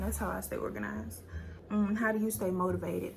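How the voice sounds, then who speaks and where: With audible room echo, a woman speaks at a fairly quick pace. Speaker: beauty business owner and YouTuber. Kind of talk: casual Q&A vlog.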